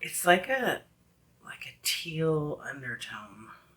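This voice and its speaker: A woman's very deep, low voice against noticeable background noise. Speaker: beauty vlogger, wig reviewer. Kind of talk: product review. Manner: casual, chatty.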